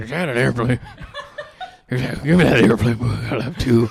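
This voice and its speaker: A man uses a put-on character voice. His pitch is medium and his pace moderate. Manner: offhand, gruffly casual.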